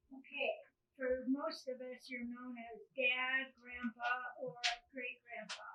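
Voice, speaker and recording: At a very slow pace, a woman speaks with a high pitch and a bright, sharp tone. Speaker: interviewer.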